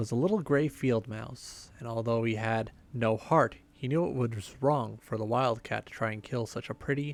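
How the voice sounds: The voice reads naturally. Its pitch varies in an ordinary way.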